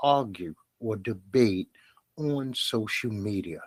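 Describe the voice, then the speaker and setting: In a dry, close recording with no echo, a man with an American accent speaks very slowly in a fairly low pitch, his intonation lively. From Brooklyn, New York. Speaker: podcast host. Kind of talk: podcast monologue.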